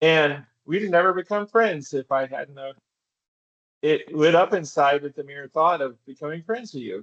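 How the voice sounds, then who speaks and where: This man has an unremarkable speaking voice, fairly high in pitch, moving at a moderate pace with lively intonation and big swings in loudness. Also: dry, close sound with no echo. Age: 60s. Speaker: philosophy author. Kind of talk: casual conversation.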